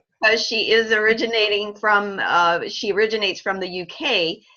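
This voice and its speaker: A woman with an American accent, a normal speaking voice, medium pitch and a fairly slow pace. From US South, Kentucky. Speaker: dietitian and webinar host. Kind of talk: moderating video call.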